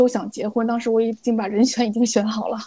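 Amid noticeable background noise, a woman with a fairly high voice talks fairly quickly in a monotone, flat way. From China, Beijing. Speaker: podcast co-host, finance worker. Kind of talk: casual chat.

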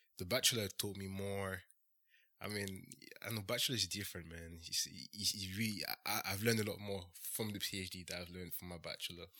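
Speaking at a very fast pace with a French accent, a man has a fairly low pitch, a bright, sharp tone and fairly even intonation. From France. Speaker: doctoral-level medical engineer and content creator. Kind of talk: casual interview.

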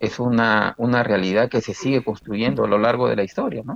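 The voice belongs to a man speaking at medium pitch. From Peru, Chimbote. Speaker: labor and tax lawyer. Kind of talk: casual chat. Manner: halting, repeats words.

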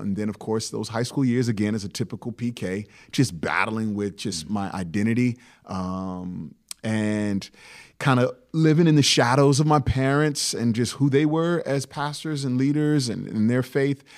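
A man with an unremarkable speaking voice talks at a moderate pace and medium pitch, with lively intonation. The recording is very clean, with a silent background. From Virginia, Hampton Roads area. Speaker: pastor. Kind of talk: interview.

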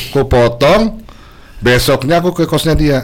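A man is heard here. His pace is fairly slow. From Balikpapan, Indonesia. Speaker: singer. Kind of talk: casual chat. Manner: animated.

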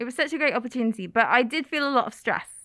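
Raised and projected, a woman's high voice carries a bright, sharp tone and lively intonation in an East Midlands accent. The sound is dry and close, with no echo. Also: very clean recording, silent background. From England, Oakham (Rutland). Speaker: YouTuber and former English teacher. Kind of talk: casual chat. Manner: animated.

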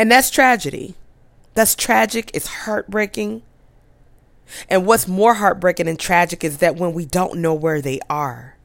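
Leaving long, frequent pauses, a woman talks at a fairly slow pace in a fairly low pitch with very wide pitch swings. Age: 40s. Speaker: podcast host. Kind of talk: faith-based podcast monologue, sermon-like exhortation with scripture. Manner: earnest, preacherly cadence with emphatic repetition; direct rhetorical questions to listeners.

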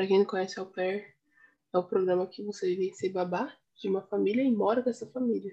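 Using an unremarkable speaking voice, a woman talks at a fairly quick pace with a medium pitch and fairly even intonation. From Brazil, São Paulo city East Zone. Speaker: podcast co-host. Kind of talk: casual chat.

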